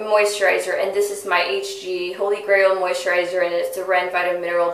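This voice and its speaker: In a room with audible echo, a woman speaks at a medium pitch and moderate pace with monotone, flat intonation. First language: not English. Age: 20s. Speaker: beauty vlogger. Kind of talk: product review monologue. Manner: chatty, with frequent fillers and self-corrections.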